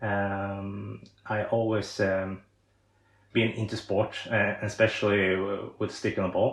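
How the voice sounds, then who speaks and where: A man with a Swedish accent, fairly low-pitched, monotone and flat, at a very slow pace. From Sweden. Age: 30s. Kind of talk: podcast interview. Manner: halting, many fillers and repetitions.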